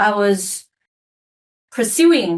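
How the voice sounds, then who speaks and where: A woman is speaking. She talks with a Mandarin accent. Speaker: leadership coach and author. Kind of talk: podcast interview.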